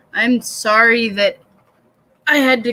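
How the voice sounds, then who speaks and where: The sound is dry and close, with no echo. A woman speaks with ordinary pitch variation. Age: 30s. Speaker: livestreamer hosting writing sessions. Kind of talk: casual livestream chat. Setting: live stream, dark room at night. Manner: soft-spoken.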